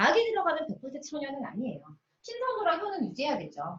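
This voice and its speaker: A woman with a high voice speaks in an animated tone, her pitch swinging very widely. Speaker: pharmacist and nutrition lecturer. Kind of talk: lecture. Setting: video call. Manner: fast.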